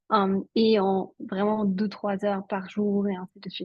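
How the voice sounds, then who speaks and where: A woman's somewhat breathy, fairly high-pitched voice. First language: Italian (speaking French). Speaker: network marketing entrepreneur. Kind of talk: interview.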